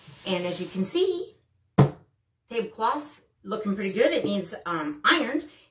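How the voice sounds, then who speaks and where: In a room with audible echo, a woman speaks at a moderate pace with very wide pitch swings. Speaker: craft and subscription box reviewer. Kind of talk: casual talk to camera, haul video. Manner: chatty, with frequent fillers and hesitations. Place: home room.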